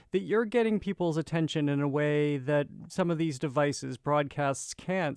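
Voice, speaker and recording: A man with an unremarkable speaking voice talks at a fairly high pitch with ordinary pitch variation. The recording sounds dry and close, with no echo. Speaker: radio show host. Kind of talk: public radio host. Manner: conversational, interviewing.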